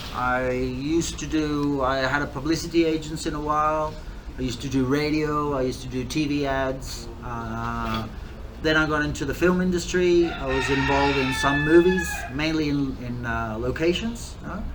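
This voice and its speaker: This man has a slight English accent and talks at a moderate pace. The recording carries noticeable background noise and audible room echo. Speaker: distiller and bar owner. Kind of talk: interview. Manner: hesitant, many fillers.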